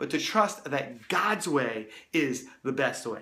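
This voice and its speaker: With audible room echo, a man speaks at a fairly slow pace in a bright, sharp tone and lively intonation. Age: 30s. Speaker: youth ministry resource creator. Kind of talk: casual talk to camera. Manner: casual, conversational; occasional stumbles.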